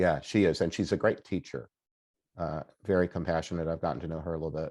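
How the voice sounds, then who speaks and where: A man speaks very fast with a very deep, low pitch. There is vocal fry, and his intonation stays fairly even. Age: 60s. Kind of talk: interview conversation. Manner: hesitant, many fillers and restarts.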